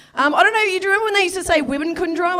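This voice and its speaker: Pitch varies in an ordinary way while noticeable background noise carries on. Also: woman. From Victoria, Australia. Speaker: stand-up comedian. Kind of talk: stand-up. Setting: stage with audience.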